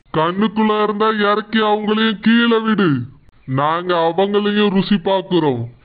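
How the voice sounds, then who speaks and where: Using a put-on character voice, a man talks at a fairly slow pace with high pitch. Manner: upbeat, mocking.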